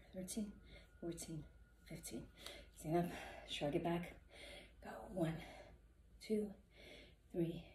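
With vocal fry and a dark, mellow tone, a woman speaks at a fairly low pitch using fairly even intonation. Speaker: fitness instructor. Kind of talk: follow-along workout coaching with rep counting. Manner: brisk, rhythmic rep counting to fifteen; encouraging, casual cues to the viewers.

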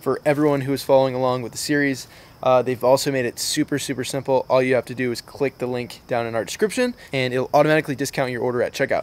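With hardly any pauses, a man races along at a very fast pace in a flat monotone, the sound dry with no echo. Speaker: fishing video host. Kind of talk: sponsor announcement to camera. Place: garden. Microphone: phone near.

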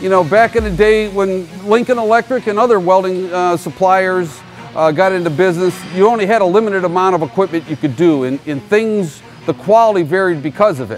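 Faint music plays in the background as a man with a high pitch talks at a fairly quick pace with ordinary pitch variation. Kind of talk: interview answer. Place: factory. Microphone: lapel.

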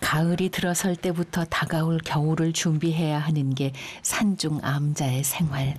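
Against noticeable background noise, a woman with a very deep, low voice speaks calmly at a fairly slow pace, with fairly even intonation and very even loudness. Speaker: documentary narrator. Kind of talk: documentary narration. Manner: calm, reflective.

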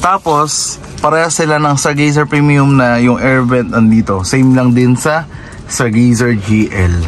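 Light background noise sits under a man speaking at a fairly slow pace. His pitch is medium with ordinary pitch variation, and his loudness is very even. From Philippines. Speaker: car salesman and vlogger; car salesperson. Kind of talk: product review vlog. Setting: car showroom. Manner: animated. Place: car. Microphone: phone near.

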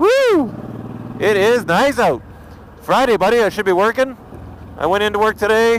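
A man with a high pitch and ordinary pitch variation speaks in an animated tone with long, frequent pauses, the sound dry with no echo and light background noise. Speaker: motovlogger. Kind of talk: angry rant, profane and venting, about being cut off by drivers. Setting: outdoors, recording a vlog while riding or stopped. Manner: loud, agitated, fast, swearing heavily; casual, rambling, animated. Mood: relaxed, joking, profane. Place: motorbike. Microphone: helmet.

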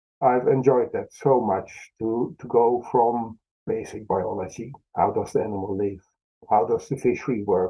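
A man talks with a Dutch accent. His pace is moderate. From Netherlands. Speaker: fisheries scientist. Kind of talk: interview.

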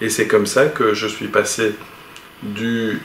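Heard with audible room echo and light background noise, a man speaks at a very slow pace. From Belgium, Charleroi; Belgium. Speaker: animation studio boss. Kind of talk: interview. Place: office.

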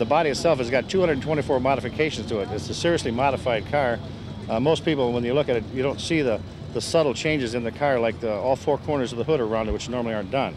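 A man talking at a very fast pace, music in the background, with a dry sound and no echo. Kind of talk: interview answer. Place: street.

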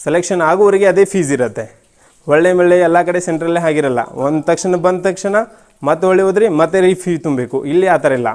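This man has a high pitch for a man. His pitch variation is ordinary. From northern Karnataka, Ramdurg taluk. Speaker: army soldier. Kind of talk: testimonial.

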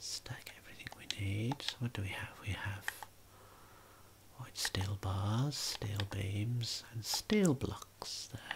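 A whisper at a very slow pace. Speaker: gaming ASMR creator. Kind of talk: ASMR gaming commentary. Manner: soft-spoken.

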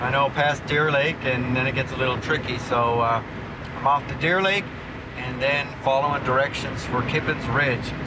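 A man at a moderate pace, with loud background noise. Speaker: TV adventure host. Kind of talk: travel vlog talk to camera. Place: car.

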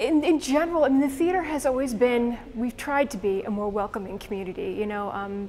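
The speaker talks at a fairly quick pace. Music plays in the background. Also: woman. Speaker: interviewee. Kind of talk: interview answer. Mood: earnest, thoughtful.

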